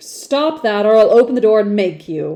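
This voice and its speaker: Using a put-on character voice, a woman speaks at a fairly high pitch and a moderate pace, with lively intonation. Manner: threatening.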